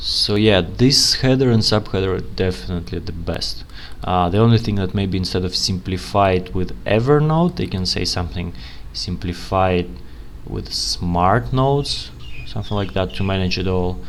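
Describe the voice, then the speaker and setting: A man with a very deep, low pitch speaks at a moderate pace with very wide pitch swings, amid audible room echo and noticeable background noise. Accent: non-native. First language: not English. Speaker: UX analyst, channel host. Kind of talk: tutorial, screen-share commentary. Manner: casual, conversational.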